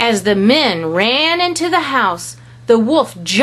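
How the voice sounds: What you hear is a natural reading voice.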